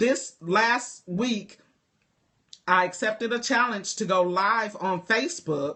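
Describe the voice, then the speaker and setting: A woman speaks in an animated tone at a medium pitch. Her pitch varies in an ordinary way. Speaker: life coach. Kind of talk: livestream talk to viewers. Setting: live video stream. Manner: loud.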